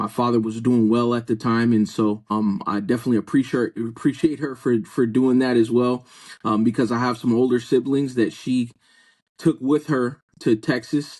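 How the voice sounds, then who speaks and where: Against a quiet background, a man of medium pitch talks at a moderate pace with an American accent and fairly even intonation. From US Southwest (Chandler, Arizona). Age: 30s. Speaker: pastor. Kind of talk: testimony.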